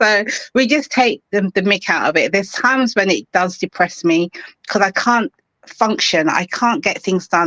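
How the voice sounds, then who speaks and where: A woman with a London accent and lively intonation at a moderate pace, in a dry, close sound with no echo. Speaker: author. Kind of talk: interview.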